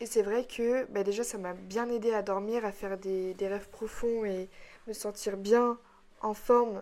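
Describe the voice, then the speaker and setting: A woman's medium-pitched voice, very slow, with a dark, mellow tone and monotone, flat intonation. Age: 20s. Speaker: podcaster. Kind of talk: personal monologue. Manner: hesitant.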